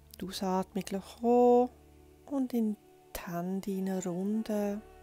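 A woman's very slow, fairly even speech in a dry, echo-free sound, with music in the background. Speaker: yoga teacher. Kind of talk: guided yoga instruction. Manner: soft-spoken, calm. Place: home room.

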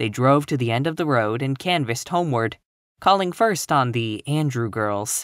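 Reading aloud in a natural voice, lively in intonation, with a quiet background

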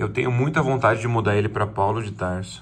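Light background noise sits behind a man's voice. His pitch is fairly low, and his intonation is fairly even. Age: 30s. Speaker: YouTuber. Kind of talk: video message to his future self. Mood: earnest, slightly emotional. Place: home room. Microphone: phone near.

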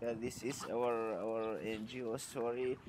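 The speaker has a Kurdish accent. The intonation is monotone and flat. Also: man. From Iraq (Yazidi, Sinjar). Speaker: charity volunteer. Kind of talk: interview testimony. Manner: halting, with frequent repetitions.

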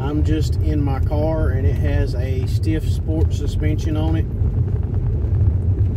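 A man over loud background noise. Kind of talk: casual narration while driving. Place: car. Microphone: phone near.

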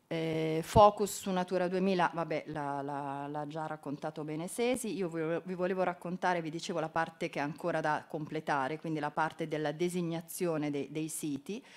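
With hardly any pauses, a woman speaks at a moderate pace in a fairly low pitch and with fairly even intonation. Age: 50s. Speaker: environment ministry official; presenter. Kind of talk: conference talk. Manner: halting, many fillers. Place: hall.

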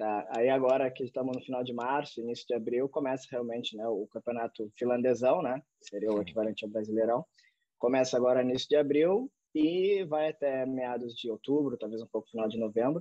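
A man's normal speaking voice at medium pitch, with ordinary pitch variation, a fairly quick pace, a dry sound with no echo, and a quiet background. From Brazil. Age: 30s. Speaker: professional footballer; podcast guest. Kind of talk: interview. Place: home room. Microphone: video call.

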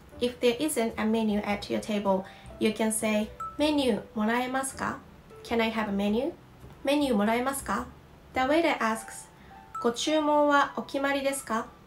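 Music plays in the background as a woman speaks with ordinary pitch variation and long, frequent pauses. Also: fairly high pitch for a woman, moderate pace. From Osaka, Japan. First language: Japanese. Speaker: Japanese language teacher. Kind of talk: language lesson to camera. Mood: calm and friendly.

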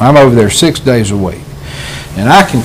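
Very wide pitch swings mark a man's speech in a Southern US accent, heard with audible room echo and noticeable background noise. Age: 60s. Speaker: county commissioner. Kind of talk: public meeting remarks.

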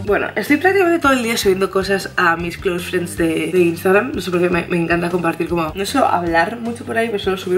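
Faint music plays behind a woman who talks very fast at a fairly low pitch, with hardly any pauses. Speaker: vlogger. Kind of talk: casual vlog chat. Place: home room. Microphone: phone near.

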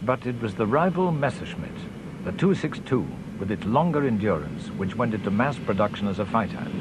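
A man speaks at a medium pitch and moderate pace, his pitch swinging very widely. Noticeable background noise runs underneath. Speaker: documentary narrator. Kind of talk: history documentary narration, measured and authoritative scripted delivery. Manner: formal, steady, even-paced.

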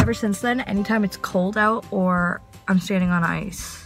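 A fairly slow-paced woman's voice over clear background music. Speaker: vlogger. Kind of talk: casual vlog chat. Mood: chatty, storytelling. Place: car. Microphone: phone near.

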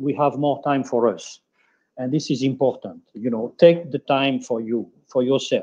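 A man in a French accent talks fairly slowly, his fairly high pitch carrying a dark, mellow tone and fairly even intonation. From France. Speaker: hotel general manager; panelist. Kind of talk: webinar panel discussion. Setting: video call. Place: office. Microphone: video call.

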